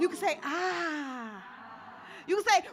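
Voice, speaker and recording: Speaking in a New York accent, a woman uses a raised, projected voice with an animated tone and very wide pitch swings, against noticeable background noise. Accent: New York City. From New York, the Bronx. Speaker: open mic host. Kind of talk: event hosting. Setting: stage with live audience. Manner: loud.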